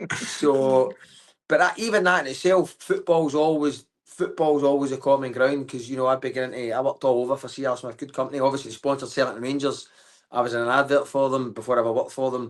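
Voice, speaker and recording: Very fast and medium-pitched, a man talks with ordinary pitch variation. The background is quiet. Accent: Glaswegian. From Scotland, Glasgow. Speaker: comedian. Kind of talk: casual chat. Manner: animated.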